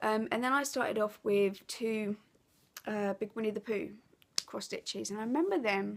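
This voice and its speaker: The speaker talks at a moderate pace with an Essex accent. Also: woman. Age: 30s. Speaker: craft vlogger. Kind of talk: casual chat. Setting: living room at home. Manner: hesitant, many fillers.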